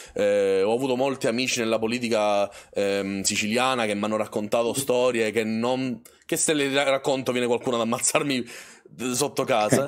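A man with a normal speaking voice talks at a moderate pace and medium pitch, his intonation fairly even and his loudness very even over a quiet background. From Sicily. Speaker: streamer. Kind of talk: casual live stream conversation. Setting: voice call on a live stream. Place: home room.

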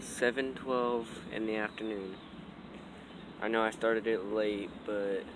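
Over noticeable background noise, a man with a fairly low pitch speaks very slowly in a monotone, flat way, leaving long, frequent pauses, with a dry sound and no echo. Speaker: vlogger. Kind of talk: casual vlog monologue. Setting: outdoors. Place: open country. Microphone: phone near.

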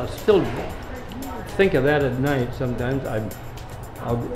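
Clear music plays in the background while a man with a fairly high pitch speaks at a fairly slow pace with ordinary pitch variation. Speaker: retired pharmacist, WWII veteran. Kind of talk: casual conversation. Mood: nostalgic, reflective. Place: shop.

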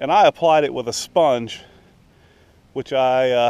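At a fairly slow pace, the voice comes through with a clear, smooth, slightly mellow tone. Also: man, medium pitch for a man, ordinary pitch variation.

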